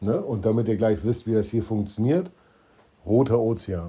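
A fairly low, somewhat breathy male voice, dark and mellow in tone, at a fairly slow pace. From eastern Germany. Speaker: entrepreneur, podcast co-host. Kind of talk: casual chat.

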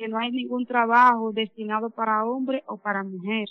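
Speaking at a fairly slow pace, a woman with a Dominican accent has a fairly high pitch. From Dominican Republic. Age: 30s. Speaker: mine welder. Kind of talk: personal testimony.

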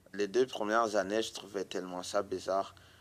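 Fairly low pitch and monotone, flat intonation from a man. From Burundi. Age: 20s. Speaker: immigrant witness. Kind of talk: testimony.

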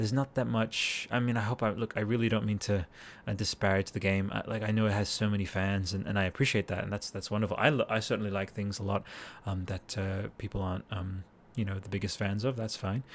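The speaker talks at a very fast pace with an Australian accent and fairly even intonation. The recording is very clean with a silent background. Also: man, fairly low pitch for a man. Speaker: podcast host. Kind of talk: casual solo monologue. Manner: halting, many fillers and repetitions.

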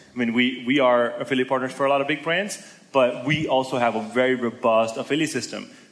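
A man at a medium pitch, very fast pace and fairly even intonation, with audible room echo. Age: 20s. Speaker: entrepreneur and blogger. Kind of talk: interview on conference stage.

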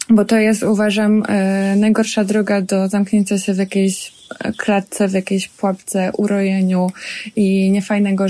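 A woman's dark, mellow, somewhat breathy voice sits at medium pitch and moves at a moderate pace with fairly even intonation. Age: 30s. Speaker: chef and restaurant owner. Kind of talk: casual interview. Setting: outdoors in a forest.

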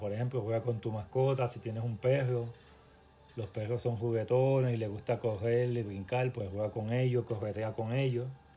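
With music playing in the background, a man speaks fairly slowly at a medium pitch, keeping his intonation fairly even. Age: 40s. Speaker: fitness coach. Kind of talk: podcast monologue.

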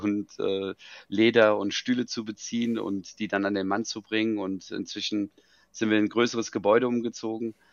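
This is an ordinary speaking voice, delivered at a moderate pace with fairly even intonation. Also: man. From Germany, Frankfurt. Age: 40s. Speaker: business founder. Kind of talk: interview.

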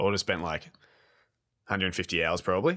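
A man with an Australian accent and lively intonation, on a very clean recording with a silent background. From Australia, Geelong area. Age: 20s. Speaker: video game podcast co-host. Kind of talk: casual chat.

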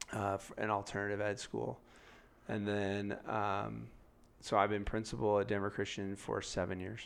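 A man with an American accent and an ordinary speaking voice talks at a fairly low pitch with ordinary pitch variation. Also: moderate pace. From San Diego, California. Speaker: school principal. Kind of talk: casual interview.

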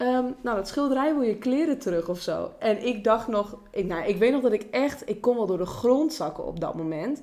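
Fairly high-pitched woman with lively intonation at a moderate pace, over noticeable background noise. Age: 20s. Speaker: social worker. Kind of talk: casual chat.

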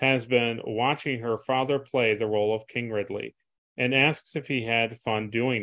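Against a quiet background, the voice is plain reading aloud with fairly even intonation.

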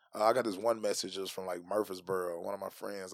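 A man with a Southern US accent in a very clean recording with a silent background. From Tennessee. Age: 30s. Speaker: stand-up comedian. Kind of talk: casual chat.

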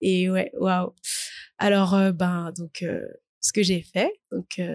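A woman speaks very slowly at medium pitch with a somewhat breathy voice. The sound is dry and close, with no echo. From Paris region, France. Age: 20s. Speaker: student. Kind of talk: interview testimony. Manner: hesitant, many fillers.

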